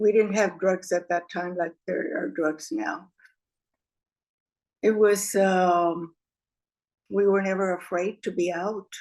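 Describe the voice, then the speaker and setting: In an American accent, the speaker talks at a very slow pace with ordinary pitch variation. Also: woman. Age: 80s+. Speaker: oral history interviewee. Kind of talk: oral history interview. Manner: halting, with fillers.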